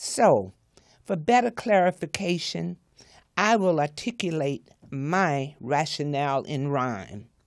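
A woman's very deep, low voice in a Southern US accent, very slow, with very wide pitch swings, against a quiet background. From US South (Florida). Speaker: author; guest. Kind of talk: reading aloud her own commentary. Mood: earnest, indignant about racism. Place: studio. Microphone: studio mic.

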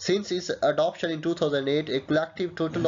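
A man's fairly high voice at a fairly quick pace

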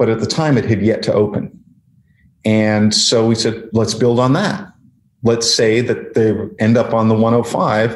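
Room echo is audible as a man at medium pitch speaks fairly slowly, with long, frequent pauses, fairly even intonation, and very even loudness. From Canada. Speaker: screenwriter. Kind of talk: interview.

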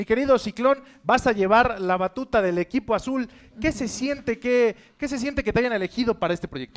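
At a fairly quick pace, a man with a Mexican accent talks in an extremely high pitch with ordinary pitch variation. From Mexico. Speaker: reality show host / presenter. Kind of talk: wrestling-event presenter, hyped emcee announcing. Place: studio.

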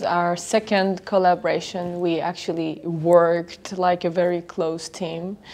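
In an Iranian accent, a woman talks with a fairly low pitch and fairly even intonation. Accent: Iranian (Persian) accent in English. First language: Persian. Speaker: film director. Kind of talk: festival interview statement. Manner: halting with frequent fillers. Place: hall.

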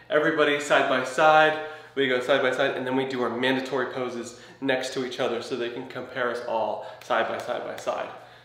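Speaking at a fairly quick pace with ordinary pitch variation, a man is heard with audible room echo. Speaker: physique competitor vlogger. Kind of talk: casual vlog chat. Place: home room. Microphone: camera far.

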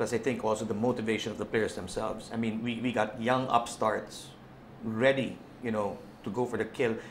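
Against light background noise, a man talks at a moderate pace in a monotone, flat intonation. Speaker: football club team manager; guest. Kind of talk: casual chat. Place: studio. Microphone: lapel.

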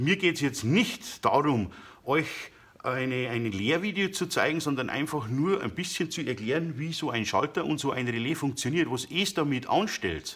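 At a moderate pace, a man speaks with lively intonation in a fairly high voice. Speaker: DIY woodworking YouTuber. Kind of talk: tutorial. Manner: hesitant, many filler sounds. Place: workshop. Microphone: phone near.

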